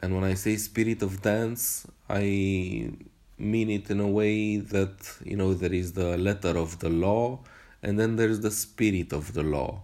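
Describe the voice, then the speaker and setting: A man's dark, mellow voice, fairly low in pitch, with fairly even intonation and a non-native accent. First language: not English. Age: 30s. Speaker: movement practitioner podcaster. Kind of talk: solo monologue podcast. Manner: halting, many fillers.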